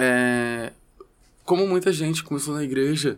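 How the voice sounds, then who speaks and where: A man at a fairly slow pace with ordinary pitch variation, in a very clean recording with a silent background. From Rio de Janeiro, West Zone favela. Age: 20s. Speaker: rapper. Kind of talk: casual interview chat.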